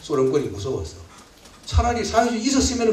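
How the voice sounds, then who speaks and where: A man's animated, fairly quick delivery amid audible room echo and noticeable background noise. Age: 70s. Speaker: lecturer, historian and literary critic. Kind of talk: public lecture.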